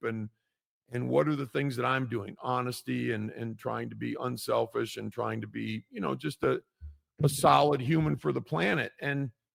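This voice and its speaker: With an American accent, a man speaks at a moderate pace. The sound is dry and close, with no echo. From US Midwest, Chicago area. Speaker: podcast guest, recovery podcaster. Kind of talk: casual interview chat.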